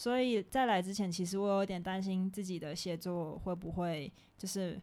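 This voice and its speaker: Against a silent background, the recording is very clean. A woman with a Taiwanese accent talks at a medium pitch. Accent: Taiwanese Mandarin. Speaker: podcast co-host, student abroad. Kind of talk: casual chat.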